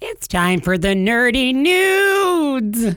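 In a put-on character voice, the speaker moves very slowly through very wide pitch swings. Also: female-sounding voice, high pitch for a woman.

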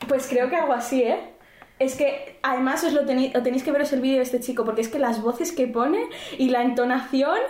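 A high-pitched woman at a fairly quick pace, with fairly even intonation and very even loudness, amid noticeable background noise and audible room echo. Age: 20s. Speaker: podcast co-host. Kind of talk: casual chat.

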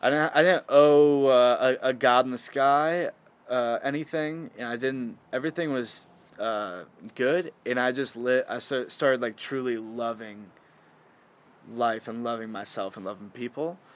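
A man with an American accent has a plain, everyday voice at medium pitch. He speaks at a fairly slow pace with ordinary pitch variation on a very clean recording with a silent background. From Michigan. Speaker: podcast guest, host's housemate. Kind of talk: casual chat. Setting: front porch at home.

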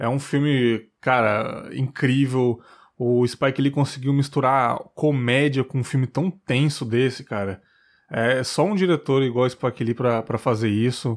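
Speaking at a fairly slow pace, a man with a medium-pitched voice keeps his loudness very even and his intonation fairly even, in a very clean recording with a silent background. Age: 20s. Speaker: podcast host. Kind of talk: casual chat.

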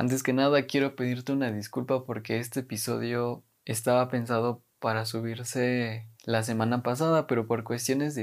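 In a Mexican accent, a man with a medium-pitched voice speaks in a flat monotone, recorded very cleanly against a silent background. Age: 20s. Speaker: podcast host and university student. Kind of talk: casual monologue.

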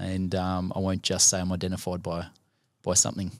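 In a very clean recording with a silent background, a man with an Australian accent and a very deep, low pitch speaks at a moderate pace. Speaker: sports chaplain. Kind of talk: casual chat.

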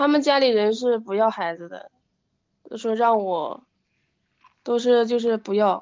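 A woman with a fairly high pitch and ordinary pitch variation speaks at a fairly slow pace. There are long, frequent pauses and big swings in loudness. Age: 20s. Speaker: caller seeking relationship advice. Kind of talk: phone-in advice call. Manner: halting.

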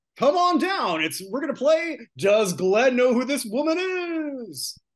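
Using a put-on character voice, someone talks at a high pitch and a fairly slow pace. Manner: bombastic, enthusiastic.

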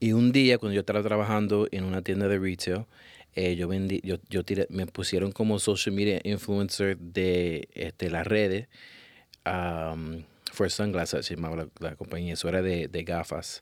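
Over a silent background on a very clean recording, a man with a very deep, low pitch talks at a moderate pace with fairly even intonation. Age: 30s. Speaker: photographer. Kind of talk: interview.

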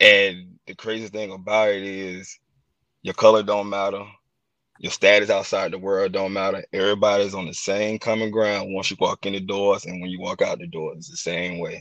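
A man with an unremarkable speaking voice, fairly low in pitch, at a moderate pace with fairly even intonation. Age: 30s. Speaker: former professional wrestler. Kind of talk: casual chat.

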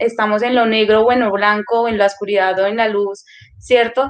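Pitched fairly high, the woman's delivery stays flat and monotone throughout. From Colombia, Putumayo. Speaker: social worker, youth center coordinator. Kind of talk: interview.

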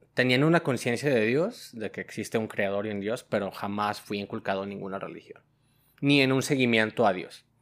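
An ordinary speaking voice with ordinary pitch variation, captured in a very clean recording against a silent background. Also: man, medium pitch for a man. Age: 20s. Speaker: logistics worker. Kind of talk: testimony.

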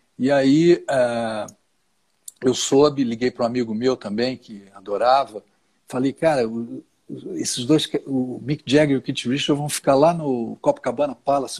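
A man's ordinary speaking voice at medium pitch with fairly even intonation and moderate pace, in a very clean recording with a silent background. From Rio de Janeiro, Brazil. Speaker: plane crash survivor and speaker. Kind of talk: live stream interview.

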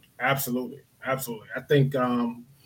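A man's voice is heard. It carries a somewhat breathy quality. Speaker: branding expert. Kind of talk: casual interview chat. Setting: online video call.

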